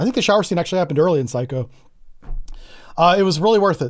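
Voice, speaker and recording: On a very clean recording with a silent background, a man talks in a high, animated voice full of lively intonation. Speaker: gaming streamer. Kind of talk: live gameplay commentary. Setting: live stream.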